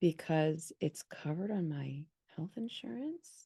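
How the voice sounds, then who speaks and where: In a dry, close recording with no echo, a woman with a fairly low pitch and a dark, mellow tone speaks at a fairly slow pace. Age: 50s. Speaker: podcast host. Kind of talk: casual interview chat.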